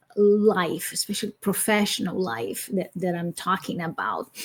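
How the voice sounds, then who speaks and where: A fairly slow delivery in a Brazilian accent, with fairly even intonation. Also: woman. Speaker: academic and speaker. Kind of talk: interview. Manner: halting.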